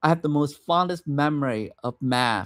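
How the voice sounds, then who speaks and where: Speaking with a Vietnamese accent at a very slow pace, a man uses a fairly high pitch and ordinary pitch variation, in a dry, close sound with no echo on a very clean recording with a silent background. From Vietnam, raised from age 7 in Madison, Wisconsin. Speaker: vlogger. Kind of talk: personal storytelling livestream. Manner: halting, many fillers and restarts.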